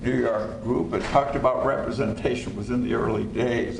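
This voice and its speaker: A man speaks in a space with audible room echo. Noticeable background noise runs underneath. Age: 70s. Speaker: lawyer and former federal prosecutor. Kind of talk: panel talk.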